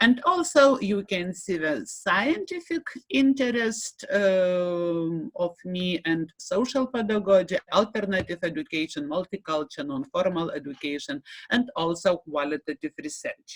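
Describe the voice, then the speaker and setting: A woman speaks at a fairly slow pace with a Lithuanian accent, her pitch medium with very wide swings. The sound is dry and close, with no echo. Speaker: university lecturer and association director. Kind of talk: conference presentation. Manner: halting, many fillers and repetitions.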